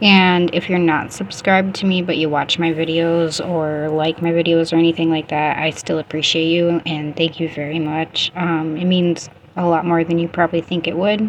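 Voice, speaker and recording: Against noticeable background noise, a woman talks in a fairly low, monotone, flat voice with hardly any pauses. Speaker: beauty and wellness vlogger. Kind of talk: skincare tutorial voiceover. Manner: casual, slow-paced.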